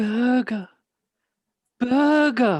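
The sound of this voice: A woman puts on a character voice with a fairly high pitch and a slightly mellow tone. She speaks at a very slow pace with lively intonation.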